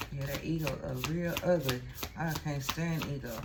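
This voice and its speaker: In a Texas accent, a woman talks at a fairly slow pace with ordinary pitch variation, amid noticeable background noise and audible room echo. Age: 40s. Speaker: tarot reader. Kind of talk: tarot reading. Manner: casual, conversational.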